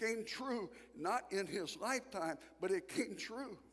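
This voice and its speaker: A man speaks at a fairly slow pace with ordinary pitch variation. Noticeable background noise sits behind him. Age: 60s. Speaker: guest preacher. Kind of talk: sermon. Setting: church. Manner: animated.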